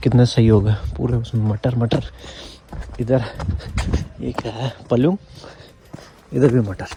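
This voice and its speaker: Over noticeable background noise, a man speaks in a medium pitch with long, frequent pauses. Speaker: vlogger. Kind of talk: casual vlog talk. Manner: casual.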